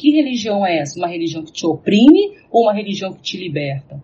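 A woman talks at a very fast pace, somewhat breathy. Her pitch makes very wide swings. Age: 40s. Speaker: professor and researcher in psychology and religion. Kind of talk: casual discussion.

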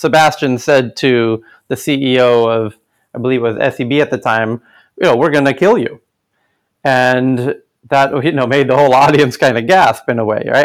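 In a very clean recording with a silent background, a man with an American accent speaks in a plain, everyday voice at a moderate pace, medium pitch and ordinary pitch variation. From United States. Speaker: tech event organizer. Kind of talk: interview.

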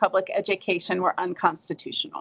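Southern US accent from a woman speaker. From US South. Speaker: history professor and author. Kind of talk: academic interview.

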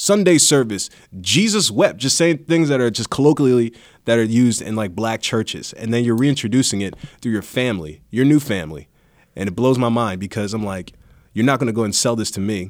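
A man of medium pitch with an ordinary speaking voice, lively intonation and a fairly quick pace, in a very clean recording with a silent background. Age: 30s. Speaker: podcast host. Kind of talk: casual interview chat. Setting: studio.

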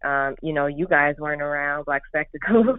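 This woman, with an American accent, talks at a moderate pace in a very deep, low voice with ordinary pitch variation. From Chicago South Side. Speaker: architect panelist. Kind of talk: panel discussion.

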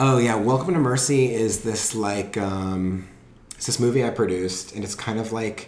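With a Southern California accent, a man talks at medium pitch and a moderate pace. His pitch varies in an ordinary way, and noticeable background noise is present. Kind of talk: casual chat.

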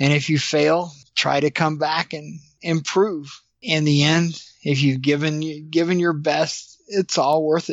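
A man's normal speaking voice with an American accent, fairly high in pitch, fairly even in intonation and fairly slow in pace. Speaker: ultramarathon race director. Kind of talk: interview.

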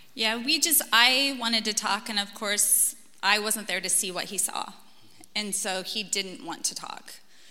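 With an American accent, a woman talks at a fairly slow pace in a fairly high pitch with ordinary pitch variation, over noticeable background noise. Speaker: teacher. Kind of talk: testimony. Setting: church.

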